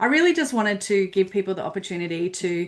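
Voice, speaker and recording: The delivery moves fairly quickly. It comes in an Australian accent. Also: woman. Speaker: business platform consultant. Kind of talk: webinar presentation.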